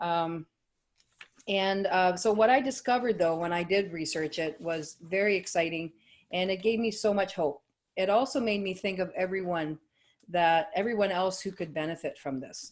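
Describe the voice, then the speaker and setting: On a very clean recording with a silent background, a woman talks at a moderate pace with medium pitch and ordinary pitch variation. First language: French. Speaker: network marketing associate. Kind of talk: sales pitch. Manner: animated.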